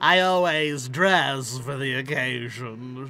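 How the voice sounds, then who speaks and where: Using a put-on character voice at medium pitch, a man speaks at a very slow pace over clear background noise. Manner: not intimidating.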